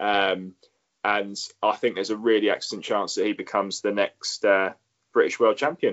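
Fairly low in pitch, a man speaks in a plain, everyday voice at a moderate pace with fairly even intonation. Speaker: podcast co-host. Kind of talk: casual chat.

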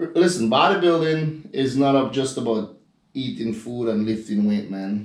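A man with a Grenadian accent talks at a fairly slow pace, his medium-pitched voice rising and falling in lively intonation. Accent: Grenadian Caribbean, noticeable. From Grenada, Caribbean. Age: 30s. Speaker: professional bodybuilder. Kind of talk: casual chat.

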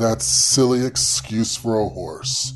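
A man puts on a character voice with a menacing tone. His pitch sits in the medium range. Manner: bitter, manic, menacing.

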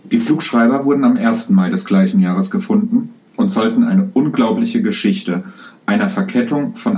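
A man's high-pitched voice at a moderate pace with ordinary pitch variation, amid noticeable background noise and audible room echo. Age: 30s. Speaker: podcast host, private pilot. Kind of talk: explanatory solo podcast narration. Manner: casual with frequent fillers.

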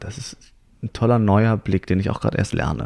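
A man's fairly low, dark, mellow voice, dry and close with no echo. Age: 20s. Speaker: actor and writer. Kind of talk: casual chat. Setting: on a couch in a living room.

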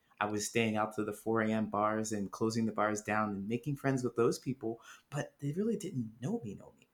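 An unremarkable speaking voice from a man at medium pitch, with ordinary pitch variation and big swings in loudness, on a very clean recording with a silent background. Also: fairly quick pace. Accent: American. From Ohio, US Midwest. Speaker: author and speaker on loneliness. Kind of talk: interview.

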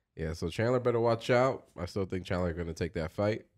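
The speaker is a man with an American accent. The recording is very clean and the background silent. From Dominican heritage, US. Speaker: podcast co-host. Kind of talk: casual chat.

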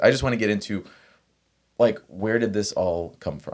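Recorded very cleanly against a silent background, a man speaks at a moderate pace. His pitch is fairly low, with ordinary pitch variation. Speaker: podcast host. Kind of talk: casual interview chat. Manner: animated, upbeat.

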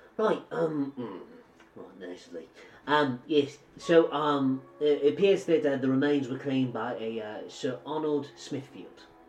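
A man puts on a nasal character voice pitched fairly high. He speaks at a moderate pace with big swings in loudness. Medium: actual play. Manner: flustered, polite, stammering.

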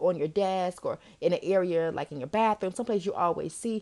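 A woman's plain, everyday voice at a fairly quick pace, with ordinary pitch variation. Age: 30s. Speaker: podcast host. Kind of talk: casual solo advice talk.

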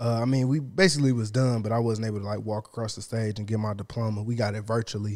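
A man speaks at a very fast pace with hardly any pauses. His medium-pitched voice keeps a fairly even intonation. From Detroit. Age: 20s. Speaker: videographer. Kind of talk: casual chat.

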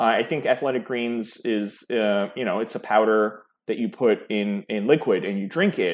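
The recording is very clean and the background silent. A man talks at a moderate pace, his pitch medium with ordinary variation. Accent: New York. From New York City, born in Serbia. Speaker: startup founder. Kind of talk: interview.

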